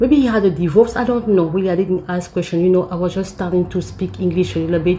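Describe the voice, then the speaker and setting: A woman talks at a very fast pace in a medium pitch, her pitch varying in an ordinary way over noticeable background noise. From Africa. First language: not English. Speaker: vlogger. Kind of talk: story time. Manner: halting, many fillers and repeats.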